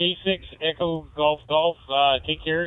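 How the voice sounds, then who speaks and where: A man with a Saskatchewan accent. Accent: Canadian Saskatchewan. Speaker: ham radio operator. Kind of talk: casual radio chat. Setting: ham radio contact. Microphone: breaking up connection.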